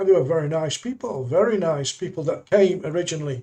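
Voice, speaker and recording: Somewhat breathy, a man speaks with a dark, mellow tone and ordinary pitch variation. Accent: English. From England. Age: 70s. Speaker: YouTuber. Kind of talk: live stream monologue. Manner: halting.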